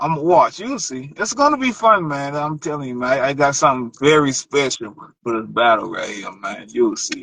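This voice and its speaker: A man speaks at a moderate pace with an American accent. His pitch is fairly high. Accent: Charleston Geechee. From Charleston, South Carolina. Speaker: battle rapper. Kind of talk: casual interview. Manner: halting, repetitive fillers.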